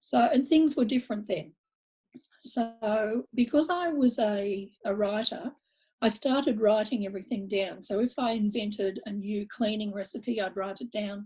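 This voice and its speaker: Speaking at a moderate pace in an Australian accent, a woman has a fairly high pitch and ordinary pitch variation. Her voice is somewhat breathy, with a dark, mellow tone. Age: 70s. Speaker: blogger and author. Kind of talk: interview conversation. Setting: video call.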